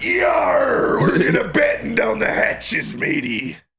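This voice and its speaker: A man in a put-on character voice talks at a fairly slow pace, his tone raspy. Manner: gruff, theatrical.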